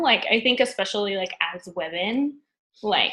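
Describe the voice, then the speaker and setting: This woman has an American accent and a fairly high, bright, sharp voice, speaking at a fairly slow pace with ordinary pitch variation. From Northern California. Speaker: career coaching community member. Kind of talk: casual interview on live stream. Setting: live video stream. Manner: halting, many fillers.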